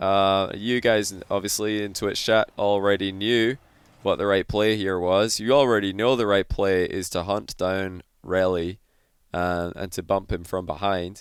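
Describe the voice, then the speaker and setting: Recorded very cleanly against a silent background, a man with a Scottish accent and a fairly low pitch speaks at a fairly slow pace. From Scotland. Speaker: gaming commentator. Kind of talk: replay analysis commentary. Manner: animated.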